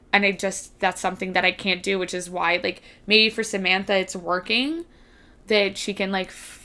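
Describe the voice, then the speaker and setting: At a moderate pace, a woman with an American accent speaks in a medium pitch, a bright, sharp tone and monotone, flat intonation, in a very clean recording with a silent background. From US East Coast. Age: 20s. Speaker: podcast guest. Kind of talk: casual chat.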